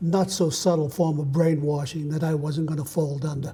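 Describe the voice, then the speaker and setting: At a moderate pace, a man talks in a fairly high pitch with a dark, mellow tone and fairly even intonation. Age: 70s. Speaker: Vietnam veteran and author. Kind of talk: testimony. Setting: TV studio.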